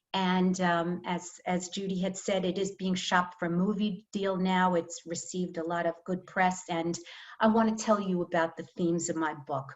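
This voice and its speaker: With a New York accent, a woman speaks at a medium pitch and moderate pace in a monotone, flat delivery with hardly any pauses. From New York, Long Island (Five Towns) and Brooklyn. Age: 60s. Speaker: author. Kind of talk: reading aloud; author talk.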